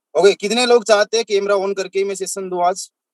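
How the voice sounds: Pitched high, a man talks at a fairly quick pace with fairly even intonation in a dry, close sound with no echo.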